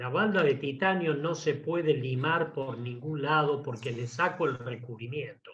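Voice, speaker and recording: A man with a Rioplatense accent speaks at a fairly high pitch, somewhat breathy. His pitch varies in an ordinary way. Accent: Argentine Rioplatense Spanish. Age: 70s. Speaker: engine engineer. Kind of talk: technical talk with Q&A. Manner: enthusiastic.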